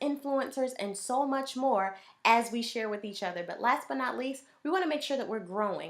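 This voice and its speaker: A woman speaks in a high pitch with an animated tone and lively intonation. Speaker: business coach and speaker. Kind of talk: sales pitch. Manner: fast.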